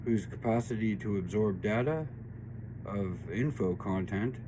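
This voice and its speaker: A man speaks at a fairly slow pace in a fairly low pitch, his dark, mellow tone carrying vocal fry and ordinary pitch variation amid audible room echo. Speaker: tarot and spiritual reading channel host. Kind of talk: spiritual reading monologue. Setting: home studio workshop. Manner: slow because of painkillers.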